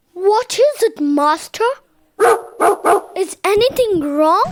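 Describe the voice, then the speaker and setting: In a put-on character voice, the speaker uses an extremely high pitch and a very slow pace. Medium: read story.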